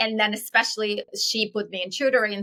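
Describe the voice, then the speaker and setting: A woman speaks at medium pitch with an Eastern European accent. Her tone is bright and sharp. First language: Eastern European language. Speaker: entrepreneur. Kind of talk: interview. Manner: fast; animated.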